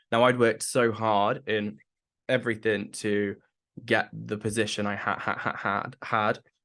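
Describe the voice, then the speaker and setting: A man's fairly low, monotone, flat voice with a British accent, bright and sharp in tone, at a fairly slow pace. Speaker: person with Tourette's sharing work experience. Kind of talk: interview testimony. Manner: frequent vocal tics, repeated syllables and swearing.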